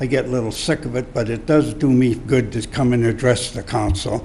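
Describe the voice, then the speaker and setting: Medium-pitched male speech at a moderate pace, ordinary pitch variation, audible room echo and noticeable background noise. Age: 70s. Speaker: citizen speaking at public comment. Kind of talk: public comment at council meeting. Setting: city council chamber. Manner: halting, repeats himself.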